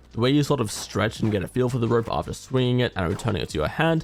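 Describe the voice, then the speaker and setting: A man at a very fast pace with lively intonation, music playing in the background. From Australia. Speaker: gaming YouTuber. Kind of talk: product review narration.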